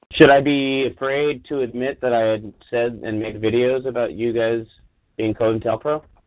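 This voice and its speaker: With a normal speaking voice, a man talks at medium pitch and a moderate pace, keeping his intonation fairly even. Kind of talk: heated argument on community call. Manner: confrontational.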